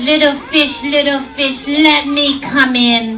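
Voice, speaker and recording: Over clear background noise, a female-sounding voice puts on a character voice, high-pitched and fairly slow. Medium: stage play. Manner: menacing.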